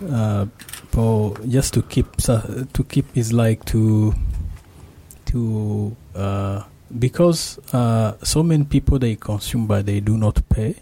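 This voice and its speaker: A man speaks very slowly at a medium pitch, with ordinary pitch variation and a dark, mellow, somewhat breathy tone, in a dry, close recording with no echo. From Rwanda. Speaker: master's student in IT. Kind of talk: radio interview.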